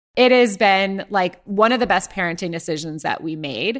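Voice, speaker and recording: A plain, everyday voice carries lively intonation. The recording is very clean, with a silent background. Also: woman. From Ohio, US Midwest. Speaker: company founder. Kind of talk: interview.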